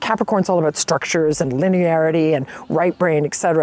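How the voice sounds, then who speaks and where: The sound is dry and close with no echo as a woman uses an ordinary speaking voice, fairly low in pitch, with ordinary pitch variation. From Canada, Toronto. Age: 60s. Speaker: guest testimonial. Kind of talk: testimonial.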